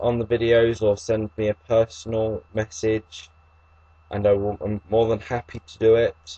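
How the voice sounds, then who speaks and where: A man with an English accent, medium-pitched, dark and mellow in tone, somewhat breathy, slow-ish and flat, monotone in intonation. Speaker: YouTuber discussing epilepsy. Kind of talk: reading aloud. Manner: halting.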